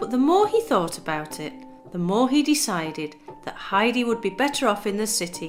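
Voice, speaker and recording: Over music in the background, a woman talks at a fairly quick pace. Her fairly high pitch swings very widely. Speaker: storyteller. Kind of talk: reading aloud. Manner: calm.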